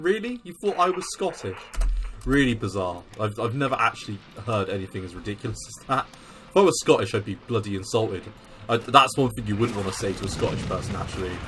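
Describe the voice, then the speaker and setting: A man's very fast, lively-intoned speech over noticeable background noise. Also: medium pitch for a man. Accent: British. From England. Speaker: gaming video creator. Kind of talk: gameplay commentary; casual chat. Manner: casual with filler words.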